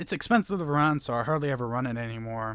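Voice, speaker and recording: Here a man speaks at a fairly quick pace. His pitch is medium and varies in an ordinary way. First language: not English. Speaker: gaming YouTuber. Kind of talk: gameplay commentary. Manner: casual, stumbling.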